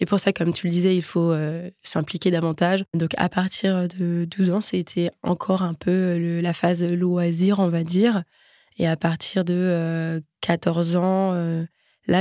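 A woman speaks at a fairly slow pace in a monotone, flat intonation, her fairly low pitch carrying a dark, mellow tone. The sound is dry and close with no echo, and the recording is very clean with a silent background. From France, Nantes. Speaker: athlete. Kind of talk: interview.

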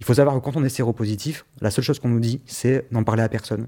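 On a very clean recording with a silent background, a man speaks at a fairly quick pace in a dark, mellow tone with fairly even intonation. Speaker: person living with HIV. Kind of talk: personal testimony.

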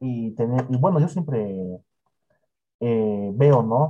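At a very slow pace, a man talks with a medium pitch, ordinary pitch variation and a dark, mellow, somewhat breathy tone. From Bolivia, Cochabamba. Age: 20s. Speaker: content creator and interviewer. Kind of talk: casual interview.

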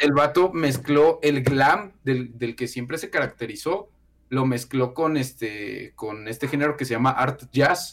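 Ordinary pitch variation and a fairly slow pace in a normal speaking voice. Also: man, medium pitch for a man. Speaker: music YouTuber. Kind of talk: casual chat.

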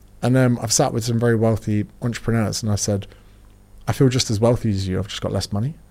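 A man talks very fast with a British accent and a dark, mellow tone. His pitch is medium and his intonation fairly even. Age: 30s. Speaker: fitness author and personal trainer. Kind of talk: casual interview chat.

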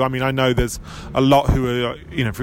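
Someone with an English accent talks at a fairly quick pace over noticeable background noise. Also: man. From England. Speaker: football journalist. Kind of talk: casual chat.

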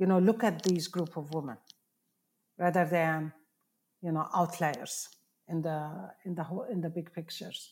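A woman speaks in a fairly low, somewhat breathy voice. The recording is very clean, with a silent background. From Palestine. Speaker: professor and nonprofit founder. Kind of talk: interview. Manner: halting.

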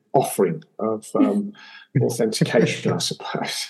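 A man speaks with an English accent. His pitch varies in an ordinary way. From England. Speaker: podcast guest, former chef and restaurateur. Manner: conversational storyteller.

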